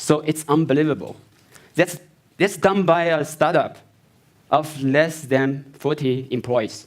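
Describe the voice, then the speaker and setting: A man with a non-native accent and a fairly high pitch speaks at a very slow pace. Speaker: company founder and CEO presenting. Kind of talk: product launch keynote presentation. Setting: stage with audience at launch event. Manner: halting.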